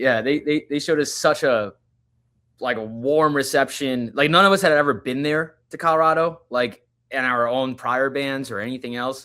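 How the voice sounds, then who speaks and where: In a Long Island accent, a man speaks at a moderate pace with a fairly high pitch and ordinary pitch variation. His tone is bright and sharp, and the recording is very clean against a silent background. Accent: New York (Long Island). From Long Island, New York. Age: 20s. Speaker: touring musician, guitarist. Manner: casual, halting with many fillers.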